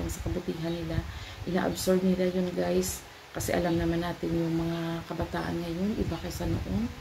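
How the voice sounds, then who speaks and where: A woman talks at a medium tempo while clear background noise and audible echo from the room fill the recording. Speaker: vlogger, mother. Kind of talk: casual vlog talk. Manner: halting.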